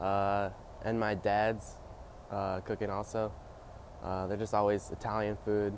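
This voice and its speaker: A voice in an American accent speaks at a moderate pace with monotone, flat intonation. The sound is dry with no echo, and light background noise sits underneath. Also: man. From upstate New York (Amsterdam, NY). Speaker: college swimmer. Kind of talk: interview answers. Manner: hesitant with fillers. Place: hall.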